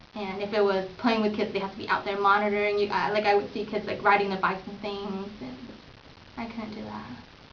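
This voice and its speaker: Very fast and medium in pitch, a woman's voice keeps fairly even intonation but big swings in loudness. Noticeable background noise and audible room echo are present. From Vietnam, raised in small-town US from age four. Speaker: interviewee, Vietnamese immigrant. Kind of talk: interview. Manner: hesitant, with frequent fillers.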